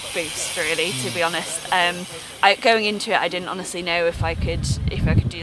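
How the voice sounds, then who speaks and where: Amid loud background noise, a woman talks at a fairly quick pace, the sound dry with no echo. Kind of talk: interview answer. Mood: cheerful, post-race. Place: car.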